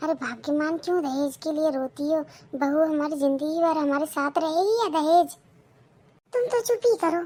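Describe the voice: Using a cartoonish character voice, a woman speaks at an extremely high pitch and a moderate pace with ordinary pitch variation.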